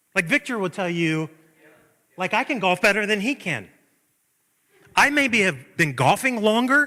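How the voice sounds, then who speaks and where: A man speaks in a raised, projected voice that is high-pitched, bright and sharp, with an animated tone and very wide pitch swings. His pace is moderate, broken by long, frequent pauses. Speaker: pastor. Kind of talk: sermon. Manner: loud.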